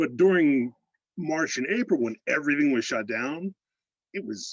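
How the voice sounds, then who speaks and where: At a moderate pace, a man with an American accent speaks at a fairly high pitch with very wide pitch swings, the sound dry and close with no echo. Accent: slight Pittsburgh (Yinzer) accent at times. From Pittsburgh, Pennsylvania. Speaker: fan on a video call, call center analyst. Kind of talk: casual chat. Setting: video call.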